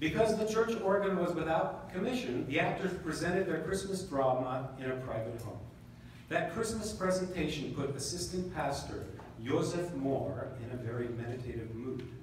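A man at a moderate pace, with strong room echo and light background noise. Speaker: band member narrator. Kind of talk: reading a story aloud at a concert. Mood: calm storytelling. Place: hall.

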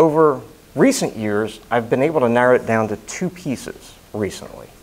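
At a moderate pace, a man is talking. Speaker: speaker. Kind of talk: prepared speech. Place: meeting room. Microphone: lapel.

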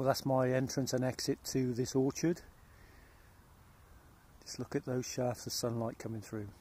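With a dark, mellow tone and little pitch movement, a man speaks amid audible room echo. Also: medium pitch for a man, moderate pace.

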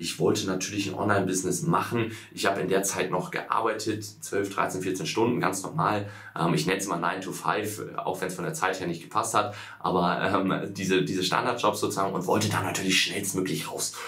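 Moving along fairly quickly, a man's fairly low voice shows ordinary pitch variation. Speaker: online business coach. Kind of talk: casual vlog chat. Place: office.

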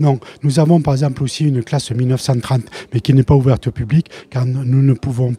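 Somewhat breathy and dark, mellow in tone, a man speaks at a moderate pace with fairly even intonation in a dry sound with no echo. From France, Lozère; France. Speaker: retired primary school teacher and collector; retired primary school teacher. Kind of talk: interview. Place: hall. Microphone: handheld.

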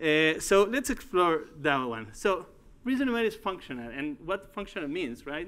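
A high-pitched man with a Uruguayan accent and very wide pitch swings. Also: moderate pace. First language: Spanish. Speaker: tech company executive and conference speaker. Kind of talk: tech conference talk. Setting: stage with audience. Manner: halting. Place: hall.

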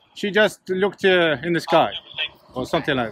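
Light background noise and a dry sound with no echo. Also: man. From England. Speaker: YouTuber filming police encounters. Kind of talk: confrontational street filming. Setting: outdoors, windy. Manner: sarcastic, combative. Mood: aggravated, confrontational. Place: street. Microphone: phone near.

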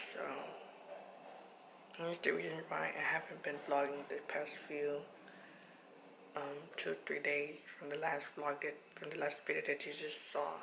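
A woman speaks at a fairly slow pace with long, frequent pauses, amid noticeable background noise and audible room echo. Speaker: family vlogger. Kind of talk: casual vlog talk. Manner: quiet, held back so as not to wake a child.

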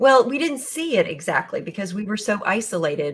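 A fairly quick pace from a woman speaking. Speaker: guest. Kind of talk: interview answer. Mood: earnest, concerned. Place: home room.

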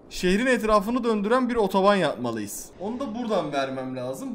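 A man's high voice, fairly quick, with lively intonation. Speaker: gaming YouTuber; gaming streamer. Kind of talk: gameplay commentary. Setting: home recording. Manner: animated; loud. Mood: playful, mildly frustrated. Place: home room. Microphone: headset.

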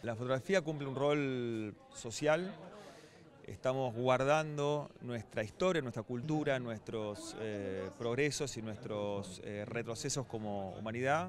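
A man at a very slow pace with ordinary pitch variation, dry sound with no echo, and noticeable background noise. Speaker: event spokesperson. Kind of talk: interview answer. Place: office. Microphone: handheld.

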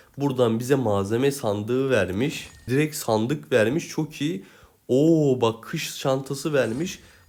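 A man talks at a very slow pace. His medium pitch shows ordinary variation. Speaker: gaming YouTuber. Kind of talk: gameplay tutorial.

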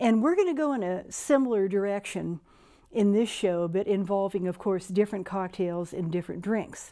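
A woman with a dark, mellow tone speaks against a quiet background. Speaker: cocktail show host. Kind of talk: tutorial. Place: studio. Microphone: lapel.

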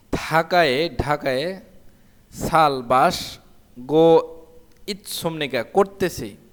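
Here is a man with a plain, everyday voice. His pitch is fairly high, and his pitch variation is ordinary. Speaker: Korean language teacher. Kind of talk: tutorial.

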